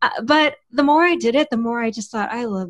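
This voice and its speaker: In a plain, everyday voice, a woman with a fairly high pitch talks at a moderate pace with lively intonation, recorded very cleanly against a silent background. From Texas. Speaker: writer and podcast host. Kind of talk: interview.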